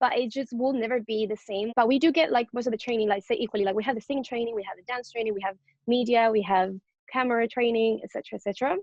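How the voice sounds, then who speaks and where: With a Spanish accent, a woman talks at a very fast pace in a fairly high pitch and with fairly even intonation. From Venezuela / Spain. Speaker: K-pop group singer and dancer. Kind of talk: interview.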